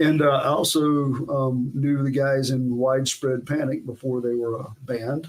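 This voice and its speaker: A man with a Southern US accent talks at a fairly slow pace in a medium pitch with monotone, flat intonation. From US South, south Georgia. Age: 60s. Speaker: guitarist. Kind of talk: casual chat.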